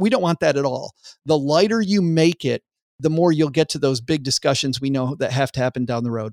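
Here a man with an unremarkable speaking voice and an American accent talks at a fairly quick pace, his pitch fairly high with ordinary variation. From US Midwest, West Michigan. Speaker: author and podcast host, former financial advisor. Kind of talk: casual interview.

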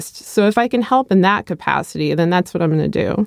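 A woman's normal speaking voice at a fairly quick pace with lively intonation, in a dry, close sound with no echo. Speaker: podcast co-host and commentator. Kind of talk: interview discussion.

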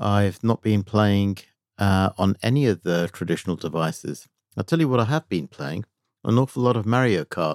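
On a very clean recording with a silent background and a dry, close sound with no echo, a man speaks in a normal speaking voice at a fairly low pitch and moderate pace, with lively intonation. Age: 50s. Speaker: video game industry executive. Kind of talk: casual chat.

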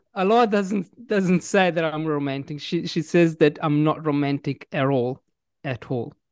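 In a dry, close recording with no echo and a quiet background, a man speaks at a fairly slow pace with ordinary pitch variation. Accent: Italian. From Italy. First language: Italian. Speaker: English teacher and author. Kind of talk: casual interview chat. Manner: friendly, hesitant with fillers.

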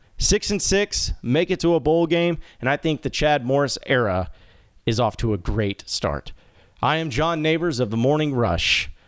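The intonation is lively and the pace moderate, with very even loudness on a very clean recording against a silent background. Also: man, fairly high pitch for a man. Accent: American. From Arkansas. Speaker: sports radio host. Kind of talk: solo podcast monologue.

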